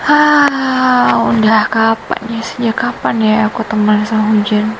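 A playful tone at a very slow pace over noticeable background noise. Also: woman, fairly high pitch for a woman. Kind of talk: ASMR girlfriend roleplay. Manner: sweet, playful.

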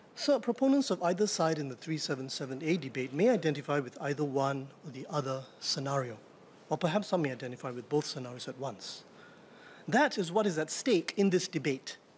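Somewhat breathy, the speech moves at a moderate pace over light background noise. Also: man. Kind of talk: parliamentary speech. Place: hall. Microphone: podium.

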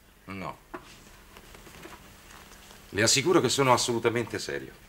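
In a put-on character voice, a man speaks fairly slowly at a fairly low pitch, with big pitch swings, a fairly bright tone and a slightly husky edge.

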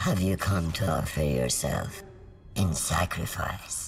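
A raspy, low-pitched put-on character voice over faint background music. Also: fairly slow pace. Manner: eerie, ominous.

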